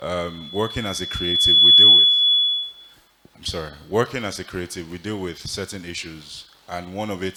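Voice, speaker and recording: A man's flat, monotone voice at a moderate pace, against noticeable background noise. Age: young. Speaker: audience member asking a question. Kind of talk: audience question. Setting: conference hall with audience.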